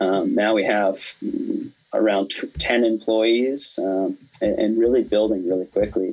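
A man with an American accent and a normal speaking voice, fairly low in pitch, at a fairly slow pace with fairly even intonation. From US Midwest, rural North Dakota. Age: 20s. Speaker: entrepreneur. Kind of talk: interview.

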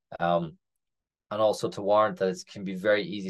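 A man with an Irish accent talks at a fairly quick pace and a fairly low pitch. His pitch variation is ordinary, against a quiet background. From Ireland. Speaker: crypto startup co-founder. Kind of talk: casual interview.

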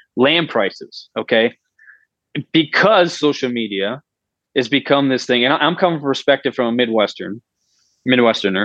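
At a moderate pace, a man speaks with a medium pitch and lively intonation. The sound is dry and close, with no echo. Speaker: industrial engineer, former hunting influencer. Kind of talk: casual interview chat. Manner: halting.

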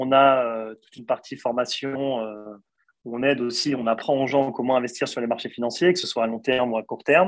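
A fairly quick pace with fairly even intonation and big swings in loudness. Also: man, medium pitch for a man. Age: 30s. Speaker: investment firm co-founder. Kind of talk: interview. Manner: halting, many repetitions.

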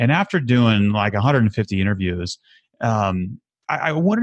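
An ordinary speaking voice talks at a moderate pace. The background is quiet and the sound is dry and close, without echo. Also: man. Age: 30s. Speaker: podcast host and recovery advocate. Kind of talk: casual interview.

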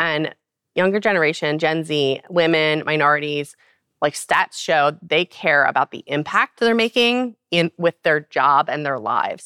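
A woman's very deep, low voice in an American accent, fairly slow with lively intonation, on a dry, close, echo-free and very clean recording with a silent background. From Baltimore, Maryland. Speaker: nonprofit president. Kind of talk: interview. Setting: live event at a trade conference.

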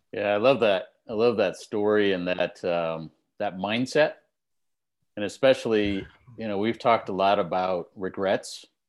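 This man has a plain, everyday voice, pitched fairly low. He moves at a moderate pace with ordinary pitch variation. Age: 60s. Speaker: podcast co-host, career and business coach. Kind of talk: casual chat.

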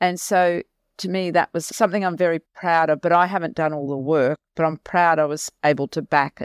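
A woman with an Australian accent speaks at a moderate pace, her fairly low pitch held in fairly even intonation. The sound is dry and close with no echo, in a very clean recording with a silent background. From Australia, Mackay, regional Queensland. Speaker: non-profit CEO. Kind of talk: interview.

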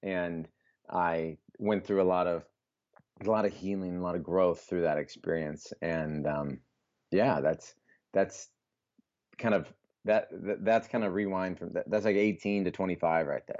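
A man with an American accent, very deep and low in pitch, with ordinary pitch variation, a fairly slow pace and long, frequent pauses. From US Midwest, Iowa (Des Moines). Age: 20s. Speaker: health coach and author. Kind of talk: casual interview chat.

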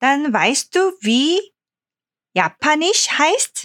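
A woman speaks with a high pitch. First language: Korean (speaking German). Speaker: Korean language teacher. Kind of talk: language lesson. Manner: halting.

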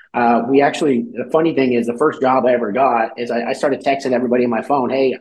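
A man with an American accent, very fast pace, and fairly even intonation. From California. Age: 30s. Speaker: business owner. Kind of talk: interview. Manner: casual.

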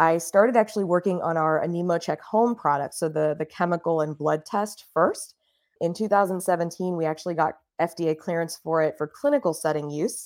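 An unremarkable speaking voice: a woman with an American accent, fairly low pitch, fairly quick pace and ordinary pitch variation, on a very clean recording with a silent background. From US South, Miami, Florida. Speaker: startup CEO and co-founder. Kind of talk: interview.

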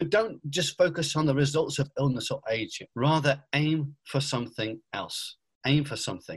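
Somewhat breathy, a man talks at a moderate pace with a fairly high pitch, and the sound is dry and close with no echo. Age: 40s. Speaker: pastor. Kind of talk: casual interview.

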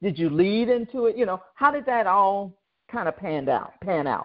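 A plain, everyday voice speaks at a moderate pace with lively intonation. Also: woman. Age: 60s. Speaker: podcast host and business coach. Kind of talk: interview.

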